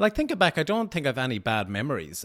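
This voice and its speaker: A man with a Sligo accent talks at a moderate pace with very wide pitch swings. The recording is very clean, with a silent background. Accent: Irish, northwest (Sligo). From Sligo, Ireland. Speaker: TV news reporter. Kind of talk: casual interview chat.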